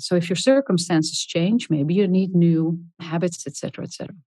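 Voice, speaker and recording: At a fairly quick pace, a woman speaks with a fairly low pitch, ordinary pitch variation and a dark, mellow tone. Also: quiet background. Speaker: health and leadership researcher, author. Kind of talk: interview. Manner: calm.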